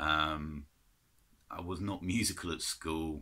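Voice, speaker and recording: Bright and sharp in tone, a man's very deep, low voice carries an English accent. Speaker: vinyl collector vlogger. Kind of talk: casual chat. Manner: hesitant.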